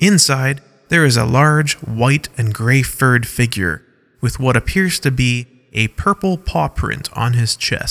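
Someone reads aloud plainly.

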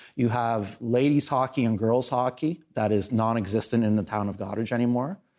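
On a very clean recording with a silent background, a man speaks at a moderate pace and medium pitch with fairly even intonation. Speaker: town councillor and local show host. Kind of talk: casual interview chat. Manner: loud, opinionated.

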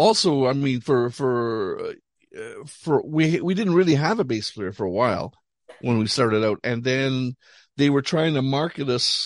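A man speaks at a moderate pace with an unremarkable speaking voice and a fairly high pitch. The sound is dry and close, with no echo. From Montreal, Canada. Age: 60s. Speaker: rock musician. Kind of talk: casual chat.

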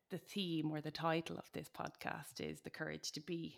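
Speaking at a fairly slow pace, a woman with a very deep, low pitch and vocal fry keeps a fairly even intonation in a very clean recording with a silent background. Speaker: podcast host. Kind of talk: podcast interview.

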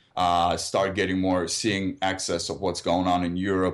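A man's very deep, low voice with vocal fry, ordinary pitch variation and a moderate pace. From Ukraine. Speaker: filmmaker and activist, military veteran. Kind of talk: interview. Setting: studio.

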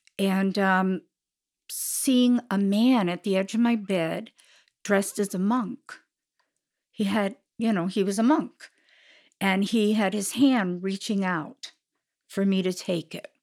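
The recording of this woman is very clean, with a silent background. Her medium pitch carries ordinary variation at a very slow pace with long, frequent pauses. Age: 70s. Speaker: mother of a podcast host. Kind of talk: casual chat.

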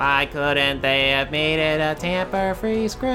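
Loud music plays behind a man using a robotic, put-on character voice. He speaks at a fairly high pitch and a fairly slow pace. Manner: yelling, deadpan.

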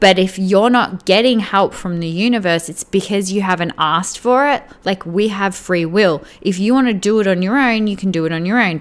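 A woman at medium pitch, with a plain, everyday voice, ordinary pitch variation and a moderate pace. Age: 30s. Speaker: spiritual mindset and weight loss coach. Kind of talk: solo podcast monologue. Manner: casual, filler-heavy.

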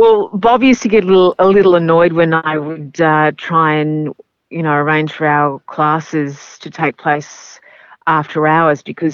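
This voice comes in an Australian accent with fairly even intonation. It moves at a moderate pace. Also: woman. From Melbourne, Australia. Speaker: race caller. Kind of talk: interview. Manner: hesitant, fillers, chatty.

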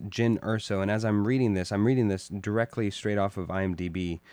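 Speaking at a fairly quick pace, a man uses a normal speaking voice with a fairly low pitch. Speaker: podcast host. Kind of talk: casual chat about films.

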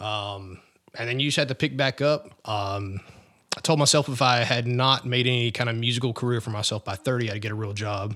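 This is a man with an American accent and a normal speaking voice. His pitch is medium and his intonation fairly even. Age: 30s. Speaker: rock singer in a tribute band. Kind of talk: interview.

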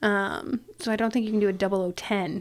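A woman's normal speaking voice at a medium pitch, with a Canadian accent and ordinary pitch variation, on a very clean recording with a silent background. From Canada, Ontario (near Toronto). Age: 30s. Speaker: business owner. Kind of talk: casual chat.

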